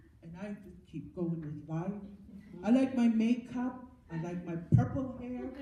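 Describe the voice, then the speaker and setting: A woman at a fairly slow pace with very wide pitch swings and audible room echo. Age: 70s. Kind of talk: testimony. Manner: halting, with repetitions.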